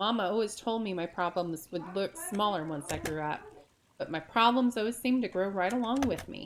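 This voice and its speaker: A female-sounding voice puts on a gruff character voice at a medium pitch and a moderate pace. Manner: muttering.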